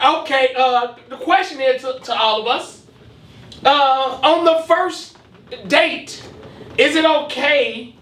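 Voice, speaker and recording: A loud man's voice, extremely high in pitch with ordinary variation, at a very slow pace with long, frequent pauses and noticeable background noise. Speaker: podcast co-host. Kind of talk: casual chat.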